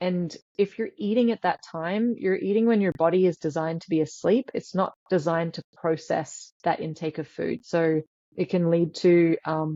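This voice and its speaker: With an Australian accent, a woman's fairly low voice carries a dark, mellow tone in a dry, close sound with no echo. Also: ordinary pitch variation, moderate pace. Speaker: sleep scientist. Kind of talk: interview.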